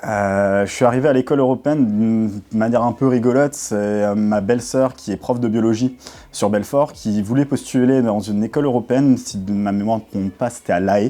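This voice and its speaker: Here a man talks at a fairly quick pace, his medium-pitched voice fairly even in intonation. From France, Alsace (Saverne). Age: 20s. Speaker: school sports development officer. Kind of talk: interview answers. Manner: hesitant, many filler sounds.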